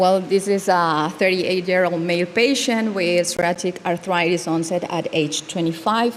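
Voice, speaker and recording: With a non-native accent, a woman of fairly low pitch talks at a moderate pace with hardly any pauses and fairly even intonation, against noticeable background noise. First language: not English. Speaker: dermatologist. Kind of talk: conference case presentation. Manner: halting.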